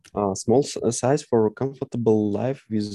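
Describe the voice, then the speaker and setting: A man speaks with a Russian accent. His fairly low voice has a dark, mellow tone. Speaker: English language student. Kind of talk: online English lesson conversation. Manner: halting, many hesitations.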